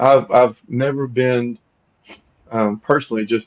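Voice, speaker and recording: In a Southern US accent, a man speaks with monotone, flat intonation. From US South, Louisiana. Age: 50s. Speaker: podcast host. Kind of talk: interview conversation.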